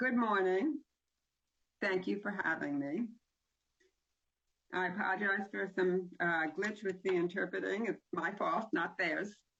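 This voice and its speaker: A woman's medium-pitched voice with ordinary pitch variation, a fairly slow pace, long and frequent pauses, and very even loudness. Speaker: education official reporting on state special schools. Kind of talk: meeting report. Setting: video call. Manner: slow, paced for interpreter.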